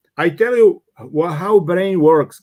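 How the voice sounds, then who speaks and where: A man's high-pitched voice with a Czech accent. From Czech Republic. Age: 60s. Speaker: business coach and former executive. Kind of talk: interview. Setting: live online talk. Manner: hesitant with many fillers.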